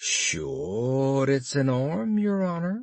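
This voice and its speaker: A man performs a put-on character voice at a medium pitch. His pitch swings very widely. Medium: read story.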